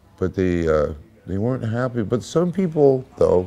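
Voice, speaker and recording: A man's lively, moderately paced speech in an American accent. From USA. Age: 60s. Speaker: blues musician. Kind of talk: interview. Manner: halting.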